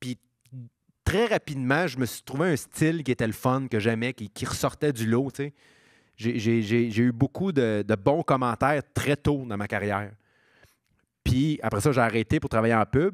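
Over a quiet background with a dry sound and no echo, a man talks at a fairly slow pace with ordinary pitch variation and long, frequent pauses. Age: 30s. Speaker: stand-up comedian; podcast guest, comedian. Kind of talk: casual interview chat. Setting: stage with live audience. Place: stage. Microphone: handheld.

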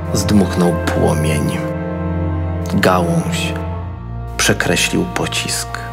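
A man speaks at a very slow pace. Loud background noise runs under his voice. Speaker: teacher and theatre director. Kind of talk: poetry reading. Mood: calm, solemn, reflective. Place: booth. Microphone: studio mic.

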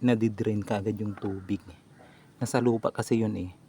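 Amid noticeable background noise, a man speaks in a fairly low pitch with monotone, flat intonation. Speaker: home gardening vlogger. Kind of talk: casual tutorial vlog. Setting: outdoors on a rooftop. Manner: stumbling over words.

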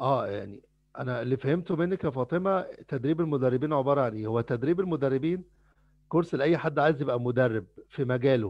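In an ordinary speaking voice, a man with a fairly high pitch and ordinary pitch variation talks at a fairly quick pace against a quiet background. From Egypt (Cairo). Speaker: trainer. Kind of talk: lecture. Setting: video call. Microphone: headset.

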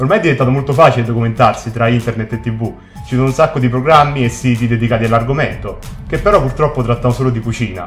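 The speech moves at a very fast pace with ordinary pitch variation. Faint music plays in the background. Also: man. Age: 30s. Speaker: cook. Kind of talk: casual talk to camera. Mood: earnest, indignant. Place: studio.

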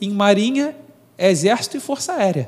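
The speaker is a man with a high pitch. His intonation is lively and his pace moderate. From Brazil. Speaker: marine officer and philosophy teacher; philosophy teacher. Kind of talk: interview. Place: studio. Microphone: studio mic.

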